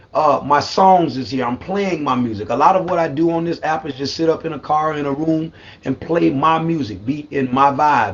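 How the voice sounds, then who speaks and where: Noticeable background noise accompanies speech delivered at a moderate pace with ordinary pitch variation. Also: man. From US South, South Carolina. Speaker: singer, formerly homeless. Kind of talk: interview.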